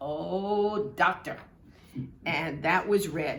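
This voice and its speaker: A woman talks with a New York accent at a very slow pace. Her intonation is lively. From Brooklyn, New York. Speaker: historical society member. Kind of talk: reminiscence to camera. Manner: humorous, engaging.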